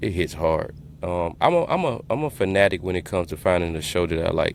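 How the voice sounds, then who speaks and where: With a Louisiana accent, a man talks at a fairly quick pace in a very deep, low pitch. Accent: Southern US, Louisiana. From Louisiana (Shreveport). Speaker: podcast host. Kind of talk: casual interview chat.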